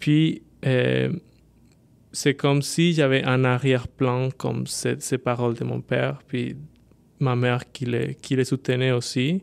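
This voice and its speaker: A man with a Spanish accent at a very slow pace, full of long, frequent pauses. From Colombia. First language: Spanish (speaking French). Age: 20s. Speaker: social worker. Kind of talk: casual chat.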